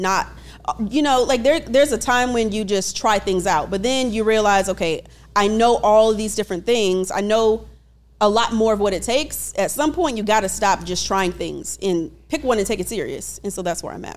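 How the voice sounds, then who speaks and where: At a moderate pace, a woman speaks in a plain, everyday voice at a medium pitch with ordinary pitch variation. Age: 30s. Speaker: Navy reservist and student. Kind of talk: coaching hot seat interview. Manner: calm, composed.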